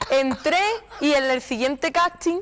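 A woman talks in a high pitch. Her tone is animated. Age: 20s. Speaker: copla singer; interview guest. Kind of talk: TV interview. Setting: TV studio with audience. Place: studio. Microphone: lapel.

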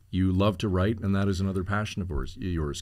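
Speaking with a Canadian accent, a man has a very deep, low pitch and fairly even intonation. He talks at a fairly quick pace against a quiet background. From Ontario, Canada. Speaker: podcast host. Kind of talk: casual chat and interview. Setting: studio. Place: studio. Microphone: studio mic.

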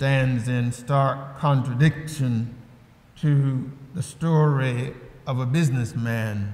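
Plain reading aloud is all there is. The lines are read out as written.

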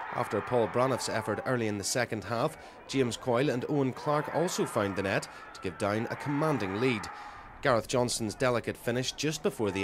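Noticeable background noise sits behind this recording. A man talks at a medium pitch and fairly quick pace with lively intonation. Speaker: sports reporter. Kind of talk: pre-recorded sports report voiceover. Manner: lively, flowing play-by-play recap.

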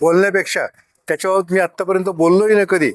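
A man's high-pitched voice, dry and close with no echo. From Kopargaon, Maharashtra, India. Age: 70s. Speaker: local politician, mayoral candidate. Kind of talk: press interview.

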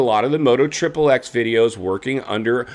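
The man speaks at a fairly quick pace. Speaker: motocross commentary host. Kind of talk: commentary. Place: home room.

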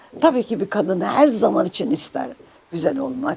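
A woman speaks with very wide pitch swings. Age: 80s+. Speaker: Turkish folk music singer. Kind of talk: interview answer.

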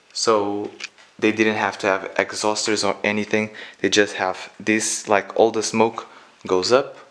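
Very slowly, a man talks in a fairly low pitch. His intonation is monotone and flat. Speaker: explorer vlogger. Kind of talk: casual vlog chat. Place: home room. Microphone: phone near.

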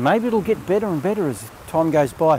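With light background noise and a dry sound with no echo, a man talks at a moderate pace in very wide pitch swings. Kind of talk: casual vlog chat. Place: beach. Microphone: phone near.

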